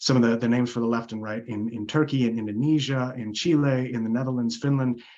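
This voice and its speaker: A man's unremarkable speaking voice with an American accent, medium pitch, ordinary pitch variation and a fairly quick pace. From United States. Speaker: psychology lecturer. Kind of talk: academic Q&A. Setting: video call.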